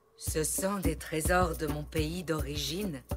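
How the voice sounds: A woman's cartoonish character voice, low in pitch and slow, with a slightly husky edge and ordinary pitch variation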